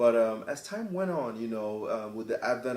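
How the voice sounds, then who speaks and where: Medium-pitched male speech, normal rises and falls in pitch, noticeable noise in the background. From Cameroon. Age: 30s. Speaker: singer-songwriter. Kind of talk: interview. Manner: halting, many fillers and repetitions.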